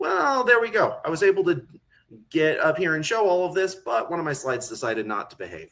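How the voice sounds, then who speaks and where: A high-pitched man talks at a fairly quick pace with very wide pitch swings. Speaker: conference speaker on technical documentation. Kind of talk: conference talk. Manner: fast.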